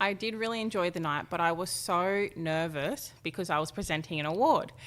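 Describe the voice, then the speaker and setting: In a very clean recording with a silent background, a woman with an Australian accent talks at a fairly quick pace in a fairly low pitch. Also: ordinary pitch variation. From Australia, Gold Coast / Tweed Heads. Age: 20s. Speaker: fashion model. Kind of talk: interview. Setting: office.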